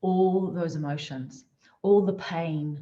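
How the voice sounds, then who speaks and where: A woman with a New Zealand accent speaks at a fairly low pitch. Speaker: motivational speaker. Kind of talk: motivational talk.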